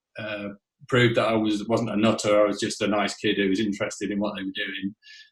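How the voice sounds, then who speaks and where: A man's fairly low voice with a Yorkshire accent, very fast and monotone with flat intonation. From northern England, Whitby (North Yorkshire). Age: 50s. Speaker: rock drummer. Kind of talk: interview. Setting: podcast.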